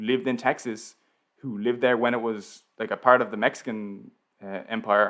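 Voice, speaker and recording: With a Dublin accent, a man talks at a moderate pace and fairly even intonation in a very clean recording with a silent background. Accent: Irish, Dublin. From Ireland, Dublin. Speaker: YouTube educational creator. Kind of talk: live stream Q&A. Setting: live stream. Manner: casual, filler-heavy.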